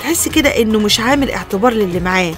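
In an Egyptian accent, a woman speaks with lively intonation over faint music in the background, the sound dry with no echo. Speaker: radio show host. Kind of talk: radio talk show advice. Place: studio.

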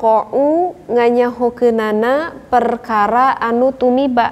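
Her pace is very slow. The woman's voice is high-pitched, with fairly even intonation. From West Java, Indonesia (Sundanese). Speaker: religious teacher. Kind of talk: lecture. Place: hall.

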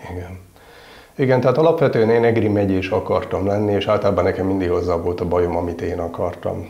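The speech comes at a very fast pace with ordinary pitch variation. Room echo is audible. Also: man, fairly low pitch for a man. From northern Hungary (Miskolc); Hungary. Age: 50s. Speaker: military chaplain. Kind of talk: interview. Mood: warm, reflective, smiling. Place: home room.

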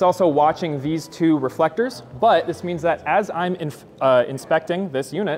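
It's a plain, everyday voice from a man with fairly high pitch and ordinary pitch variation. He talks at a moderate pace over light background noise. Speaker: engineer giving a product demo. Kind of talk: live product demo. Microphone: lapel.

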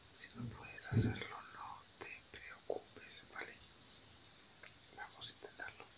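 Through noticeable background noise comes a whisper delivered at a very slow pace. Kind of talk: guided breathing relaxation.

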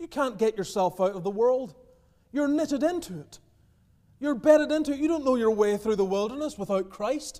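A man speaks with a dark, mellow tone and lively intonation at a moderate pace. The background is quiet. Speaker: preacher. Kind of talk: sermon. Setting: church. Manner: earnest, pastoral, exhorting the congregation. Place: church. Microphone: podium.

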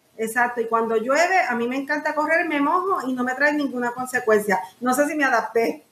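A woman speaks at a high pitch and fairly quick pace with hardly any pauses. Room echo is audible. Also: ordinary pitch variation. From Puerto Rico, raised in San Juan; Puerto Rico. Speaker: lawyer, pastor and coach running an adaptive sports foundation; podcast guest. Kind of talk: interview. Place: home room.

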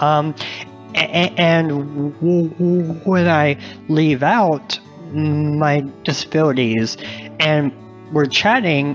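A man's fairly high voice with ordinary pitch variation, a very slow pace, long and frequent pauses, very even loudness and music in the background. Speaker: author and journalist. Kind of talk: podcast interview answer. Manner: giggly, child-like laughter; hesitant, repeats syllables.

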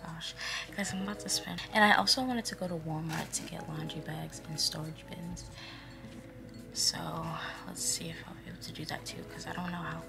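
A woman whispers at a fairly quick pace, her loudness swinging widely. Clear music plays in the background. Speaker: vlogger. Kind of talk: casual vlog chat. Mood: relaxed, chatty. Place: home room. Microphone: phone near.

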